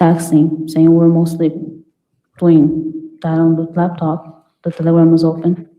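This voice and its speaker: The tone is dark and mellow, with a non-native accent. Delivery comes at a fairly slow pace. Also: woman. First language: not English. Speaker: trial witness, former au pair. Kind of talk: courtroom testimony. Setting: courtroom.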